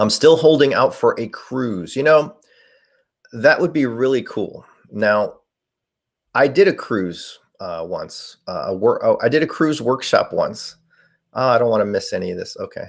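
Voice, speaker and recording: A very clean recording, a silent background, and speech at a moderate pace. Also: man. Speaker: paranormal investigator streamer. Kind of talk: live stream chat.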